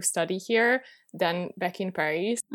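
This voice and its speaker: The recording is very clean, with a silent background. A woman speaks with a Hungarian accent and ordinary pitch variation. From Hungary. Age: 20s. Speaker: student and YouTuber. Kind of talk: interview.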